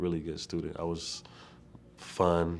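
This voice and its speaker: A very deep, low male voice at a moderate pace. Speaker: community college student athlete. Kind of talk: testimony.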